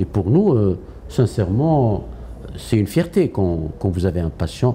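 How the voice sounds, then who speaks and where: A man speaks with a fairly low pitch. His voice makes very wide pitch swings. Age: 60s. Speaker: oncologist and healthcare executive. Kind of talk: interview. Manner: hesitant, many fillers.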